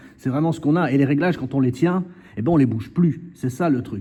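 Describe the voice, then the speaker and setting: Speaking very fast, a man with a fairly high pitch has a dark, mellow, somewhat breathy tone and ordinary pitch variation. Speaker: tattoo artist reviewing equipment. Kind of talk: product demo tutorial. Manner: casual, animated.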